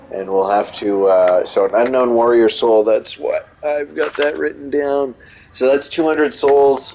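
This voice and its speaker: Noticeable background noise surrounds the speaker. A man talks at a fairly slow pace. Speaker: video game guide creator. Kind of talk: gameplay tutorial commentary. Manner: hesitant, many fillers.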